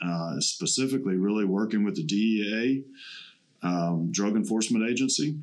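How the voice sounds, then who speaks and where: A man speaks in a plain, everyday voice at a fairly low pitch. His pace is fairly slow, and his pitch varies in an ordinary way. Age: 50s. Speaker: podcast host, veteran. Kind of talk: casual interview. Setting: studio.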